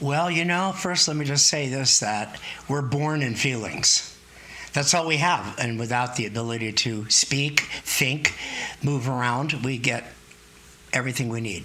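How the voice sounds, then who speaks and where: A man at medium pitch and a fairly slow pace, with ordinary pitch variation, audible room echo and noticeable background noise. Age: 70s. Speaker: therapist. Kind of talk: interview.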